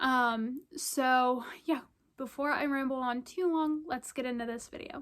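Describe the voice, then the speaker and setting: Speaking at a fairly slow pace, a woman has a high-pitched voice. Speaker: vlogger, military spouse. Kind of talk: casual vlog update. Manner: many filler ums.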